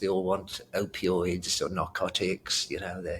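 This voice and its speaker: A man with a British accent. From Britain. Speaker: retired pain medicine doctor. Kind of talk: interview conversation.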